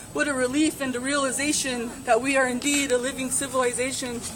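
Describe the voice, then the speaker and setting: A woman's raised, projected, high-pitched voice at a fairly quick pace, with noticeable background noise. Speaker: activist. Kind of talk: spoken word poetry performance. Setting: live gathering.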